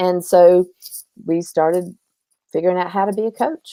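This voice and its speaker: A woman speaks at medium pitch and a moderate pace, in an American accent. Her tone is dark and mellow, and the sound is dry and close with no echo. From US South. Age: 60s. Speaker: life coach. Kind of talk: interview conversation.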